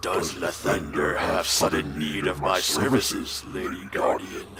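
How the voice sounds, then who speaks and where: A man's put-on character voice at a moderate pace, over loud background noise. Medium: game stream. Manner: smug, condescending.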